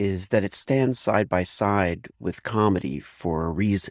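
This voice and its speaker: In a dry, close recording with no echo and a very clean, silent background, a man with an ordinary speaking voice talks at a fairly low pitch and moderate pace. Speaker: podcast host. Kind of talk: podcast intro read.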